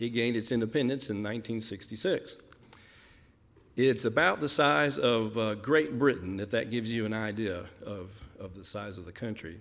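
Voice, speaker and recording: This man talks with a Kentucky accent at a medium pitch and a moderate pace. His pitch varies in an ordinary way, while his loudness swings widely. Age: 50s. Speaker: missionary. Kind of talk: mission report presentation.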